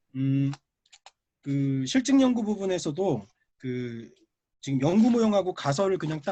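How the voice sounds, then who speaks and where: A man speaks with a dark, mellow tone. His pitch swings very widely over a quiet background. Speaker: professor, paper discussant. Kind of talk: academic conference discussion. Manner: fast.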